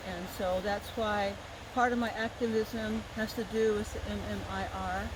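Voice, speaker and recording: A woman speaks at a fairly slow pace with a medium pitch, over noticeable background noise and audible room echo. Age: 60s. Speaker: Native dancer and activist. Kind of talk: storytelling talk at a festival. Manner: halting, with repeated words.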